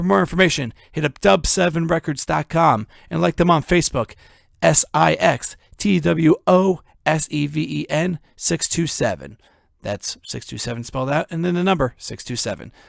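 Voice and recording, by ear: In a very clean recording with a silent background and a dry, close sound with no echo, a man puts on a gravelly character voice, fairly high in pitch, at a moderate pace.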